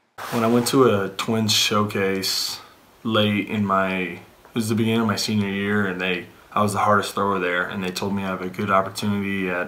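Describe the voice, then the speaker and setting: Monotone, flat speech in an American accent at a fairly quick pace, with audible room echo and noticeable background noise. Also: man. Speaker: professional baseball player. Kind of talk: interview.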